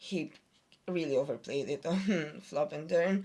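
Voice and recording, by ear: This woman has a low-pitched voice. Her pitch varies in an ordinary way.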